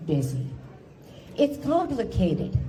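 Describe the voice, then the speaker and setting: A woman's voice is heard with audible room echo. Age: 70s. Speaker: cancer patient speaker. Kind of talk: speech. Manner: formal.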